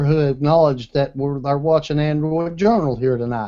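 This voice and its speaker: The speaker is a man with a fairly high pitch. He has an American accent. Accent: Southern US, self-described redneck. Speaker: tech show host and gadget reviewer. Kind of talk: casual panel chat with product review. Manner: casual, conversational.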